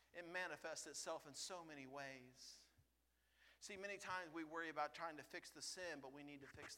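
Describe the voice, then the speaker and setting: A man's fairly high, bright, sharp voice at a fairly quick pace, with ordinary pitch variation and audible room echo. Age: 50s. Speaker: lay preacher. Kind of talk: sermon. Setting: church. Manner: animated.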